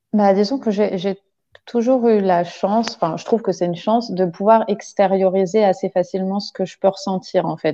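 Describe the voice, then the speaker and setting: At a moderate pace, a woman speaks with a dark, mellow tone, medium pitch and fairly even intonation. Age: 30s. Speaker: childcare worker. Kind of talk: casual interview. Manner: hesitant, many fillers.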